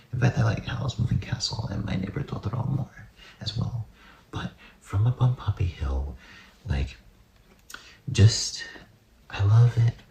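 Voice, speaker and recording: Over noticeable background noise, a man speaks at a fairly slow pace with long, frequent pauses. His medium-pitched voice has a relaxed tone and lively intonation. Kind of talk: ASMR soft-spoken ramble about movies, casual talk to camera. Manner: soft-spoken, whispery, relaxed.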